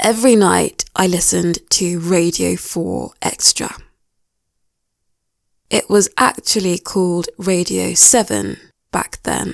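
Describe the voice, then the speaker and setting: A woman with a British accent at a very slow pace, with long, frequent pauses, in a very clean recording against a silent background. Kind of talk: English listening practice narration. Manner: slow, clear.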